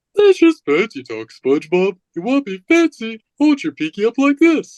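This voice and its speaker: A put-on character voice, fairly high in pitch, with very wide pitch swings at a moderate pace. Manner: dopey, cartoonish.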